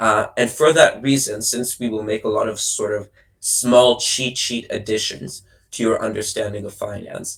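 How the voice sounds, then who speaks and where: A man's somewhat breathy, medium-pitched voice at a moderate pace with fairly even intonation. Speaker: debate coach. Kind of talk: workshop lecture.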